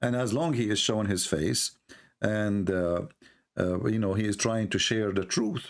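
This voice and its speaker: Here a man talks in an Arabic accent at a moderate pace. His pitch is fairly low, with ordinary variation. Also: very even loudness. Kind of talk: call-in debate.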